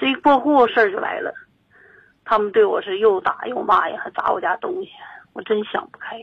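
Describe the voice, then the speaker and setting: The speech moves at a fairly quick pace, broken by long, frequent pauses. Pitch swings very widely and loudness rises and falls sharply. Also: woman, fairly high pitch for a woman. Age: 60s. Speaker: caller. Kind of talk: phone-in call about a family dispute. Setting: phone call.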